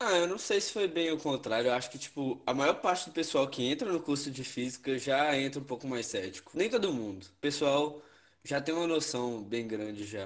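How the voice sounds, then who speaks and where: Using a normal speaking voice, a man talks at a moderate pace with lively intonation. His pitch is fairly high and the background is quiet. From northern Minas Gerais, Brazil. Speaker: podcast co-host, physics student. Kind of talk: casual chat.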